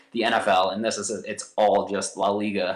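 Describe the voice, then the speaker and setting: A man with a Midwestern American accent and a fairly low pitch. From US Midwest, St. Louis. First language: American Sign Language. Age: 30s. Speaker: professional soccer player. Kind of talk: podcast interview.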